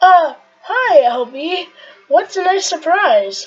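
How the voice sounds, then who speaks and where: A woman speaks in a put-on character voice that is squeaky and extremely high-pitched, with very wide pitch swings. Her delivery is very slow. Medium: game stream.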